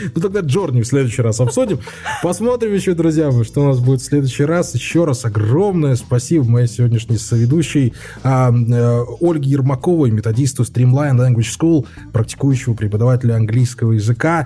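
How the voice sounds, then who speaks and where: With noticeable background noise behind him, a man of medium pitch speaks fairly quickly at a very even loudness and with ordinary pitch variation. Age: 30s. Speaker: podcast host. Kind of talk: casual chat.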